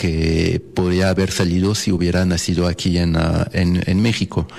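A man's very deep, low voice in a French accent, over noticeable background noise. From France (Paris). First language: French (speaking Spanish). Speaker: jazz pianist. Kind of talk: casual interview. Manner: halting, many fillers.

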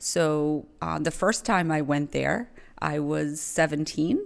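A woman talks at a very slow pace in a very deep, low voice, on a very clean recording with a silent background. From Rhode Island, Providence area (born in the Azores, moved at nine). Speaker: salon owner. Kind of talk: interview.

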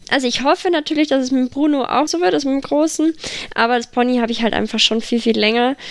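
The speech runs at a very fast pace with ordinary pitch variation over noticeable background noise. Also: woman, high pitch for a woman. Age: 20s. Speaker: para-equestrian rider. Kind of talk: casual interview.

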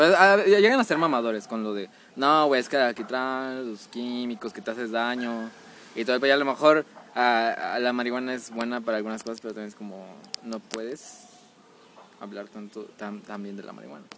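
A man with a Mexican accent at a fairly quick pace, with big swings in loudness, long and frequent pauses, and noticeable background noise. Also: medium pitch for a man, ordinary pitch variation. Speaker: podcast host. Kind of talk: casual chat.

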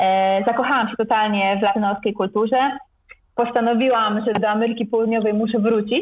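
Using an ordinary speaking voice, a woman talks at a fairly high pitch and a fairly quick pace, with fairly even intonation and very even loudness. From Poland, Gdańsk. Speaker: travel blogger. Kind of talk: interview.

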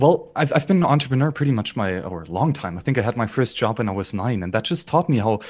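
Speaking at a very fast pace with a German accent, a man sounds somewhat breathy, his pitch swinging very widely. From southern Bavaria, Germany. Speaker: YouTube content creator. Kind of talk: podcast interview.

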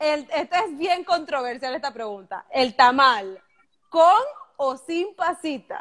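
A woman speaks at a very slow pace in a high pitch. Her pitch swings very widely. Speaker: podcast host. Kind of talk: casual interview. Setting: live stream video call.

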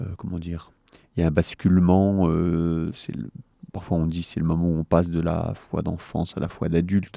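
In a dry, close recording with no echo, a man's very deep, low voice carries a dark, mellow tone at a moderate pace. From France, Sarthe. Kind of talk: interview. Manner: halting, many hesitations.

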